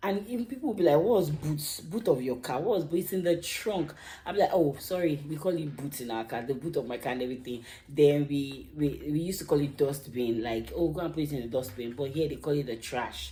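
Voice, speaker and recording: The voice has lively intonation and a dark, mellow tone, somewhat breathy, with a strong Nigerian accent. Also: woman, very deep, low pitch for a woman, fairly quick pace. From Nigeria (Lagos). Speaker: YouTuber. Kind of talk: casual vlog monologue. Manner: animated.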